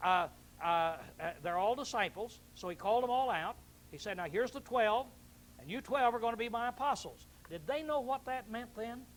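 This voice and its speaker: Lively in intonation, the speech moves along rather quickly. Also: man, extremely high pitch for a man. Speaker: bible teacher. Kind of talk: bible class teaching. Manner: fast; animated, conversational.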